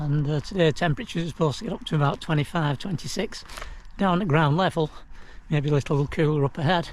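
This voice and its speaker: A man talks very fast at a fairly high pitch with ordinary pitch variation. Noticeable background noise can be heard. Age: 70s. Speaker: hiking vlogger. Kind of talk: casual vlog narration. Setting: outdoors. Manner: hesitant, many fillers.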